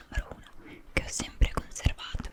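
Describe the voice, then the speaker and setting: A woman whispers in a gentle, soothing tone. Noticeable background noise is audible. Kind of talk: book reading in Italian. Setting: studio microphone with rain sounds. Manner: whispered, gentle, soothing.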